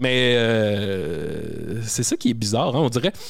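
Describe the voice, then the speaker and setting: The speaker is a man with a Quebec accent. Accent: Québécois French. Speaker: comedian. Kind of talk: casual chat.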